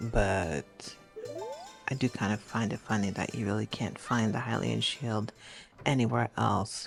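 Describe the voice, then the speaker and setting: Soft-spoken and calm, at a very slow pace, with music in the background. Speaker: gamer. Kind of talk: gameplay commentary.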